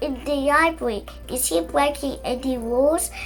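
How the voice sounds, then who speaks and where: A woman performs a put-on character voice against clear background noise. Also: moderate pace. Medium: read story. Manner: stern, brisk.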